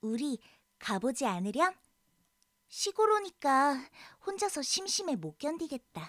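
A woman in a high voice speaks at a very slow pace with long, frequent pauses, a playful tone and very wide pitch swings. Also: dry, close sound with no echo. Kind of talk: voiced lines of the girl character within audiobook reading. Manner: lively, playful, girlish character voice.

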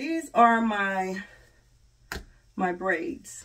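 Against a quiet background, the voice sounds somewhat breathy. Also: woman. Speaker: beauty vlogger; hair vlogger. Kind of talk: tutorial. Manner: casual. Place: home room. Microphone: phone near.

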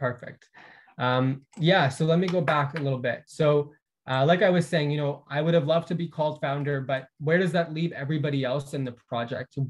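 The speaker talks at a fairly quick pace in a somewhat breathy voice. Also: man, fairly high pitch for a man. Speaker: community organizer; presenter. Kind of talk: conference presentation. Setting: video call. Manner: animated. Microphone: video call.

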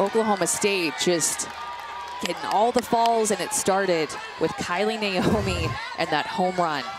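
Fairly slow speech over crowd noise, dry and free of echo. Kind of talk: live color commentary. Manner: explanatory, analytical, steady. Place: booth.

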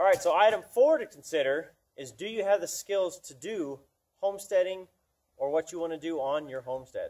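This man talks at a fairly quick pace in an American accent, with a high pitch and lively intonation. His tone is dark and mellow, and his loudness swings widely. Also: quiet background. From US suburbs. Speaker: homesteader. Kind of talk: casual tutorial to camera. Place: farm machine. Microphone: camera far.

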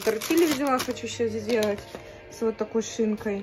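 Backed by clear music, a woman with a fairly high pitch speaks at a moderate pace with lively intonation. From Russia, Saint Petersburg. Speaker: ASMR and mukbang vlogger. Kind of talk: casual talk to camera. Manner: chatty, relaxed. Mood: low mood, tired. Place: home room. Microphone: phone near.

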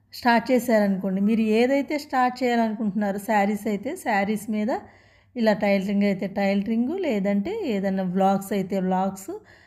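A woman's dark, mellow voice at a medium pitch, with ordinary pitch variation. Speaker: tailoring YouTuber. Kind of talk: casual vlog talk to viewers.

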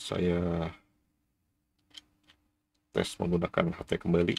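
A man speaks slowly in a low pitch with monotone, flat intonation. His slightly mellow tone has a slightly husky edge and vocal fry.

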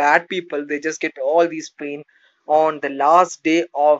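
Just a man, with a quiet background behind him. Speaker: motivational vlogger. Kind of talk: casual motivational talk. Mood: earnest, reflective. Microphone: phone near.

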